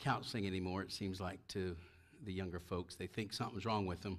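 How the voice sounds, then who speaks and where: A man speaks in a very deep, low voice. The background is quiet. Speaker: preacher. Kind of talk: sermon. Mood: relaxed, joking. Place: church. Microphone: headset.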